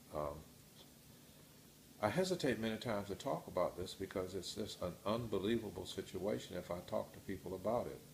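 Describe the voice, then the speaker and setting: A man talks at a fairly quick pace and a fairly low pitch. His voice is somewhat breathy, with ordinary pitch variation. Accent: American. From Washington, D.C. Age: 80s+. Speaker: retired teacher. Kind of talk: interview answer.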